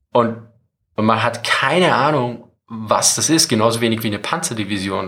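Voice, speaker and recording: At a moderate pace, a man talks in an ordinary speaking voice. His pitch variation is ordinary. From Austria. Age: 40s. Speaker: military history YouTuber. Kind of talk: casual interview.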